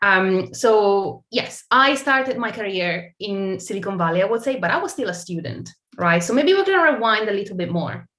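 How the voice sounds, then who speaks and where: With an Italian accent, a woman talks at a moderate pace in a bright, sharp tone at medium pitch, her intonation lively and hardly any pauses between words. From Italy. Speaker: tech brand partnerships marketer. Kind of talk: interview.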